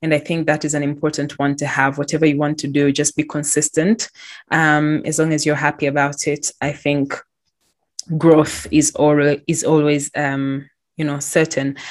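The recording is very clean, with a silent background. A woman with a very deep, low pitch speaks at a moderate pace in a monotone, flat way. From Tanzania. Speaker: podcast host, recent graduate. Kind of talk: casual solo monologue. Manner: hesitant, many fillers.

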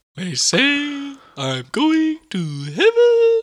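Someone performs a put-on character voice pitched high. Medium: stage play.

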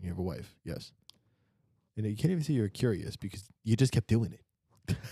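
A man's fairly low, somewhat breathy voice with a dark, mellow tone, at a moderate pace with ordinary pitch variation, in a dry, close sound with no echo. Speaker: podcast host. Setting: hotel lodge on ski trip. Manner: joking.

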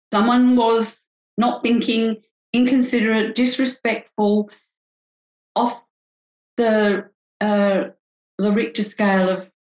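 With an Australian accent, a woman speaks at a fairly high pitch in a somewhat breathy voice, her intonation fairly even, her loudness very even and her pauses long and frequent. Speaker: couples psychologist. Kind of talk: interview.

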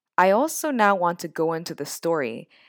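At a moderate pace, a plain, everyday voice with an American accent comes through dry and close with no echo. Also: woman. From US (born in Japan, immigrant child). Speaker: university lecturer and podcast co-host. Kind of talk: interview conversation.

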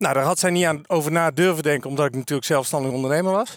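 Fairly high in pitch with ordinary pitch variation, the man has an ordinary speaking voice. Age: 40s. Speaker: career coach and trainer. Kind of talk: casual interview. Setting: outdoors walking.

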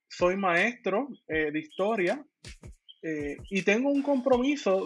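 A man talks at a high pitch with lively intonation. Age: 20s. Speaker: municipal legislative candidate and history teacher. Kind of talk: political interview.

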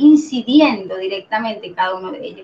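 A woman with a Venezuelan accent, fairly high pitch and ordinary pitch variation, at a fairly quick pace over noticeable background noise. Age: 40s. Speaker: systems engineer and organizational consultant. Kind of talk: interview.

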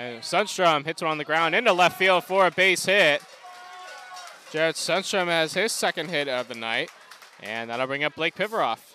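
Music plays behind a man with a high voice and lively intonation. The sound is dry and close with no echo, and his pace is moderate. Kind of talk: live sports commentary.

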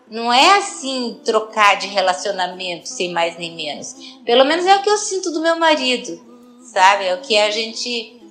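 Noticeable background noise runs behind a woman speaking at a fairly high pitch. Her pitch swings very widely. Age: 60s. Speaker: person with Parkinson's. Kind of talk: personal testimony.

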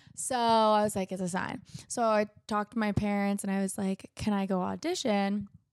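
A woman with an American accent and a plain, everyday voice, medium pitch, moderate pace, and fairly even intonation, on a very clean recording with a silent background and a dry, close sound with no echo. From South Florida. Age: 20s. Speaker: singer-songwriter. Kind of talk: casual interview.

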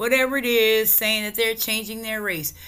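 A woman speaks with a fairly high pitch and lively intonation. Her tone is bright, sharp and animated. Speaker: cannabis podcast host. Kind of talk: casual solo rant.

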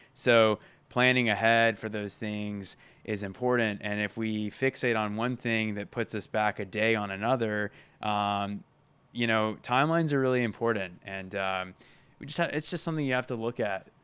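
In a very clean recording with a silent background, a man with an unremarkable speaking voice talks at a moderate pace and fairly low pitch. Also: ordinary pitch variation. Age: 30s. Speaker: freelance filmmaker and podcast co-host. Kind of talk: casual chat.

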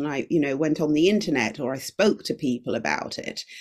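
Vocal fry runs through speech at a fairly quick pace. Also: woman. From UK, Jamaican heritage. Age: 50s. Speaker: singer-songwriter and podcast producer. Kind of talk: casual interview chat. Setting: video call from China.

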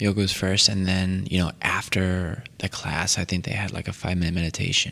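Whispering at a fairly quick pace, a man talks in an American accent. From Connecticut, Waterbury. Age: 20s. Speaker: vegan chef. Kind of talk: casual chat.

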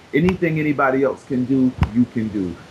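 Amid noticeable background noise, a man with an American accent speaks at a medium pitch in an animated tone. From Brooklyn, New York. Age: 30s. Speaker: weight-loss success story, author. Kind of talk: interview.

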